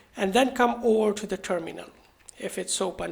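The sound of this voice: The speech moves at a moderate pace with ordinary pitch variation and vocal fry.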